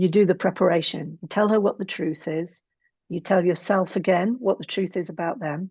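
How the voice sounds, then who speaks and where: Somewhat breathy, a woman talks at a fairly quick pace with fairly even intonation over a quiet background. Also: medium pitch for a woman. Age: 60s. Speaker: psychotherapist and relationship coach. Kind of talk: interview conversation.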